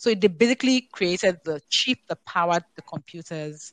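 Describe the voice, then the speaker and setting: A woman with a fairly low pitch and ordinary pitch variation is heard in a dry, close sound with no echo. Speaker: professional in tech policy and marketing. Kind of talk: casual panel discussion. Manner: fast talker.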